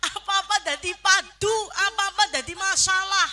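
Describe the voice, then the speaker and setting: This raised, projected voice speaks with a Banyumasan accent at a fairly slow pace. Noticeable background noise runs under it. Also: woman. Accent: Banyumasan Javanese (Ngapak). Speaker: Islamic preacher. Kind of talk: humorous religious sermon to a live audience. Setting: live event with audience. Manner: lively, humorous.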